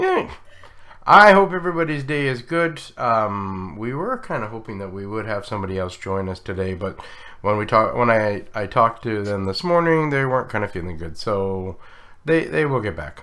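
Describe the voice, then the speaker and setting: Here a man speaks in a fairly low voice with a bright, sharp tone. His pitch swings very widely. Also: moderate pace. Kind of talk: live Q&A chat. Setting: live stream.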